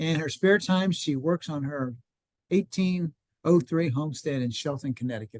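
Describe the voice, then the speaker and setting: The voice has ordinary pitch variation, and the sound is dry and close with no echo. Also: man. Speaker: garden club meeting host. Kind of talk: speaker introduction. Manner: fast.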